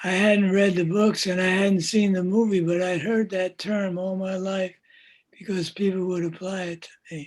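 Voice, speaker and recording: A man speaks loudly at a moderate pace in a high, monotone voice with flat intonation. The recording is very clean, with a silent background. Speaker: poet. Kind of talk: casual conversation. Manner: effortful, trying to speak loudly; halting.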